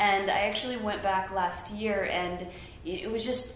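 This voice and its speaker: A woman is speaking. There is noticeable background noise and audible room echo. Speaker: visual artist. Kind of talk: artist talk with slides. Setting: small room with live audience. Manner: fast; chatty, with frequent fillers.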